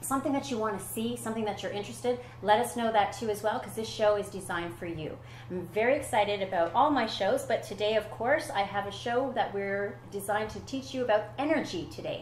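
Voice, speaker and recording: Through noticeable background noise and audible room echo, a woman with a medium pitch speaks very fast with lively intonation. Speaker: talk show host. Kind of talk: talk show interview. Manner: animated.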